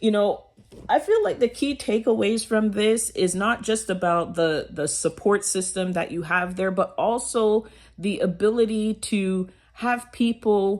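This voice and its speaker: The speech moves at a fairly slow pace with ordinary pitch variation, on a very clean recording with a silent background. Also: woman, fairly high pitch for a woman. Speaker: motivational vlogger. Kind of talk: motivational talk. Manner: loud.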